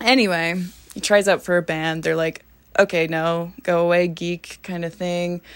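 Speaking at a fairly slow pace, a woman with a western Canadian accent has a fairly low pitch. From Canada, northern Alberta (small town). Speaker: film journalist, horror and metal commentator. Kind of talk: casual monologue. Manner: animated.

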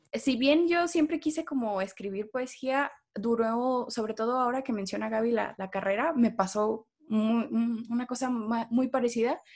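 Using an ordinary speaking voice, a woman with a fairly high pitch talks at a fairly slow pace with ordinary pitch variation. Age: 20s. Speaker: poet, literature graduate. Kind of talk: casual interview. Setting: video call.

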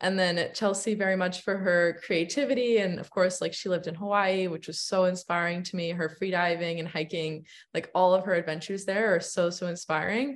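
A woman's ordinary speaking voice, medium-pitched, with an American accent, fairly even intonation, a fairly quick pace, hardly any pauses and a quiet background. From United States, Iranian American family. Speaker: travel content creator. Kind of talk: casual interview chat.

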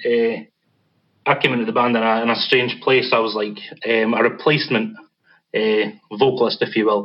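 Speaking with a Scottish accent, a man of medium pitch keeps a monotone, flat intonation at a moderate pace, broken by long, frequent pauses. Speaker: metal band vocalist. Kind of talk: casual interview.

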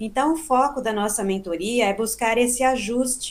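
In an unremarkable speaking voice, a woman talks at a moderate pace and a fairly high pitch, with ordinary pitch variation. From southern Minas Gerais, Brazil. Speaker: psychotherapist. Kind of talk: interview. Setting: remote recording.

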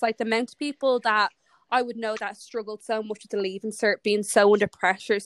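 A woman speaks at a fairly quick pace with little pitch movement, the sound dry and close with no echo. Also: medium pitch for a woman.

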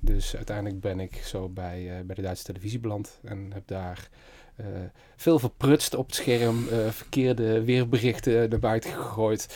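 A man's dark, mellow voice at a moderate pace, with big swings in loudness. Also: medium pitch for a man. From Netherlands, Limburg (Merselo near Venray). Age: 40s. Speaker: creative entrepreneur, design studio founder. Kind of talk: interview. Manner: energetic.

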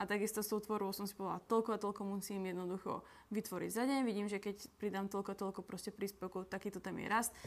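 Very fast, monotone, flat speech from a woman with a medium pitch. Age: 20s. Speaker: nutrition coach and content creator. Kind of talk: casual interview.

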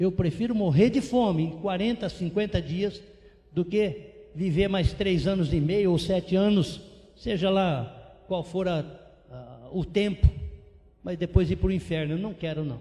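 Pitch moves in an ordinary way. Delivery is fairly slow. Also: man, high pitch for a man. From interior of São Paulo, Brazil. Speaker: missionary pastor. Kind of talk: sermon.

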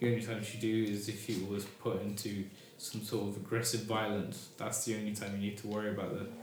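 A man's fairly low, monotone, flat voice at a very fast pace over noticeable background noise. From Britain. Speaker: discussion stream host. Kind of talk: casual chat. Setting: live stream.

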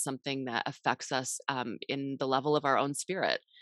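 A woman speaks with an American accent and a very deep, low pitch. The sound is dry and close, with no echo. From Washington State, US. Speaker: author and podcaster. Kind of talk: interview conversation. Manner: hesitant, many fillers.

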